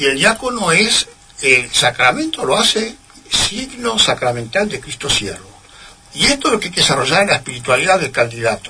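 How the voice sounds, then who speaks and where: A man at a high pitch with very wide pitch swings, amid noticeable background noise. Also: moderate pace. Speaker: priest. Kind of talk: interview. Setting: radio studio. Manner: formal.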